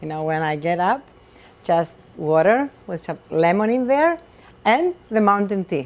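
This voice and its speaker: A woman with a Greek accent and lively intonation at a moderate pace. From Greece. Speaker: chef and restaurant owner. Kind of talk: cooking demonstration. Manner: animated.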